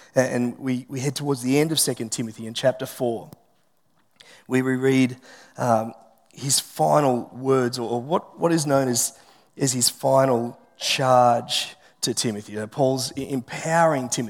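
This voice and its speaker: With an Australian accent, a man talks at a fairly slow pace, his medium-pitched voice fairly even in intonation. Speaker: pastor. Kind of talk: sermon. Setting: church.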